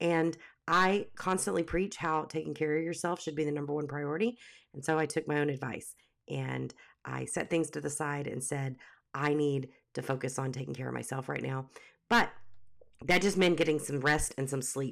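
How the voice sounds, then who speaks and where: Vocal fry runs through this very clean recording with a silent background, delivered at a moderate pace with ordinary pitch variation. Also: woman. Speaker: podcast host for teacher business owners. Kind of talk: casual podcast monologue; scripted show intro.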